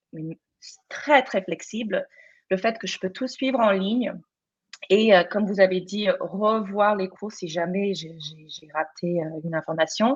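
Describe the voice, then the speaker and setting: A woman with a non-native accent talks at a fairly slow pace. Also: medium pitch for a woman, ordinary pitch variation, big swings in loudness. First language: not French (speaking French). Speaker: teacher and student in teacher training. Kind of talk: testimony in live panel. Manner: halting, many repetitions and fillers.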